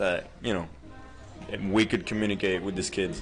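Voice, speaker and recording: Over music in the background, a man with a Spanish accent speaks at a fairly low pitch with fairly even intonation. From Puerto Rico. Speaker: college baseball player. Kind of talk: casual interview.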